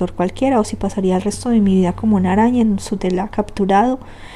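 Reading in an unforced voice

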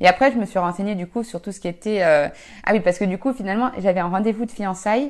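This woman talks at a very fast pace with a medium pitch. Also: ordinary pitch variation. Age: 20s. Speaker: amateur athlete. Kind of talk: casual chat. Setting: home.

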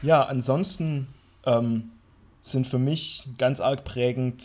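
Here a man uses a normal speaking voice at medium pitch, keeping his intonation fairly even. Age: 20s. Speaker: gaming podcast co-host. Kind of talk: casual chat.

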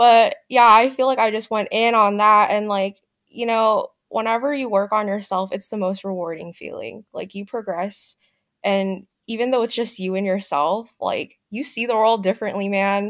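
A woman with an unremarkable speaking voice talks in a fairly high pitch with fairly even intonation. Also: moderate pace. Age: 20s. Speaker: podcast guest, recent graduate. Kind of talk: casual chat.

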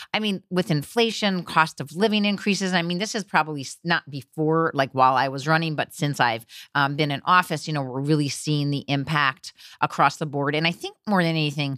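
A very deep, low-pitched woman's voice in an American accent, at a fairly quick pace with ordinary pitch variation, in a very clean recording with a silent background and a dry, close sound with no echo. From New Jersey (Teaneck). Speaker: state legislator. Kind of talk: interview.

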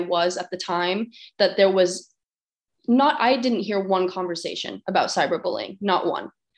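Here a woman speaks with a Californian accent. Her pace is moderate. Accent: Californian American. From Los Angeles, California (Glendale). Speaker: college student and anti-bullying speaker. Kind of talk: interview.

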